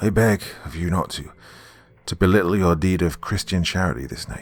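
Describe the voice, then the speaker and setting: A husky put-on character voice moves at a moderate pace with ordinary pitch variation. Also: man, very deep, low pitch for a man. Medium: read story. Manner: halting, archaic, pious.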